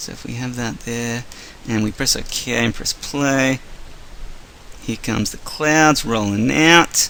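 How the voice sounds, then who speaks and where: We hear a man. He speaks at a medium pitch. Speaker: video editing tutorial maker. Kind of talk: tutorial. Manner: fast; animated.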